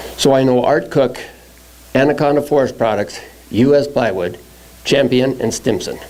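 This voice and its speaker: Noticeable background noise runs beneath a speaker with an American accent. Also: man. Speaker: log truck driver. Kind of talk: testimony.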